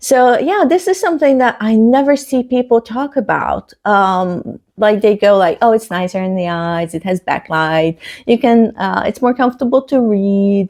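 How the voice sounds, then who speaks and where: A woman's fairly high voice with a Hungarian accent, lively intonation, a moderate pace and hardly any pauses. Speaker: book vlogger. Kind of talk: casual vlog talk. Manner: hesitant, many fillers.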